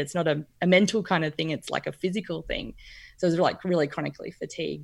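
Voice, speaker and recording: Fairly quick speech from a woman with a fairly low pitch and an Australian accent. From Brisbane, Queensland. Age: 40s. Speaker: nutritional therapy practitioner. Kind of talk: casual interview chat. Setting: video call.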